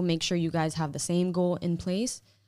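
With an American accent, a woman speaks at a moderate pace in a fairly low voice with a dark, mellow tone. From Hialeah, Florida (Cuban-born). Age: 20s. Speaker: podcast guest, expectant mother. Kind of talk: casual chat.

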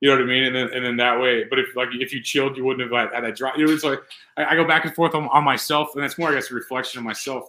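A man's bright, sharp voice at a medium pitch races along at a very fast pace. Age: 30s. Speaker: podcast host. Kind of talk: casual interview.

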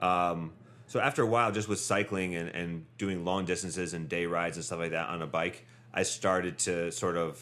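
Very deep and low in pitch yet bright and sharp in tone, a man speaks with a Midwestern American accent and fairly even intonation. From Northeast Ohio. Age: 30s. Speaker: bicycle courier and bike tourer. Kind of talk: casual chat.

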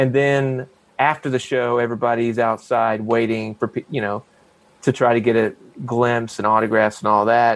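A man with an American accent speaks at a moderate pace in a medium pitch, with fairly even intonation and an unremarkable speaking voice. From South Carolina. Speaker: actor. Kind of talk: casual chat.

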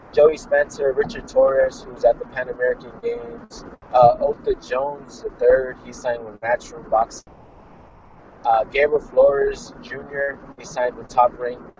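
A man speaks with big swings in loudness. Noticeable background noise runs underneath. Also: moderate pace. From US West Coast, Fresno California. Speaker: amateur boxer. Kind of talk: interview.

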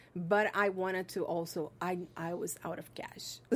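In a very clean recording with a silent background, a woman speaks with a Portuguese accent. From Brazil. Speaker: film school alumni coordinator and filmmaker. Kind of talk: interview. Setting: studio.

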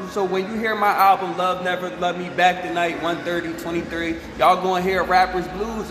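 A man with an American accent talks at a fairly quick pace with high pitch and fairly even intonation. There is audible room echo and noticeable background noise. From New Jersey. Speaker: rapper. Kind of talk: interview.

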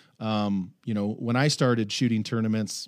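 In a very clean recording with a silent background, a man with an American accent speaks in a plain, everyday voice at medium pitch with fairly even intonation. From US West Coast. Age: 40s. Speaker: archery industry veteran. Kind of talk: casual chat.

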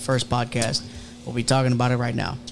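Over noticeable background noise, a man speaks in an American accent. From Houston, Texas. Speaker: streetwear brand owner and electrician. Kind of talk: casual chat. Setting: studio. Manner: animated.

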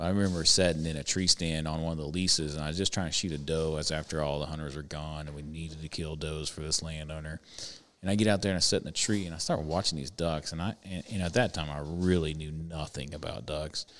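Delivered at a very fast pace, the speech has fairly even intonation and an American accent. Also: man, very deep, low pitch for a man. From Kansas. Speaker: hunting outfitter. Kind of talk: casual chat. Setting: hunting lodge.

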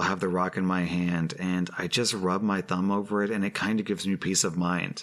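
Here is an ordinary speaking voice from a man at a fairly low pitch. He talks at a fairly quick pace. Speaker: podcast host reading Reddit posts. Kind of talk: reading aloud Reddit stories with commentary.

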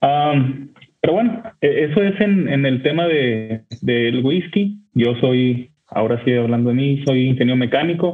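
This man has an ordinary speaking voice, fairly high, with lively intonation. He talks at a fairly slow pace with very even loudness and hardly any pauses. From northern Mexico, Torreón. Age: 30s. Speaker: whisky enthusiast. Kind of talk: storytelling.

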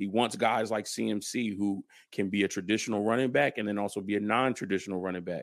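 Here is a man with an unremarkable speaking voice and fairly low pitch. He talks at a fairly quick pace with fairly even intonation. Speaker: football fan analyst. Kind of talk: casual sports discussion. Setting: remote from home.

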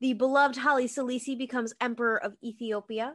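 Against a quiet background, a woman with an American accent speaks at a fairly quick pace in a high pitch with a bright, sharp tone. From Boston, Massachusetts. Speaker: podcast co-host. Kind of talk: casual chat, history storytelling.

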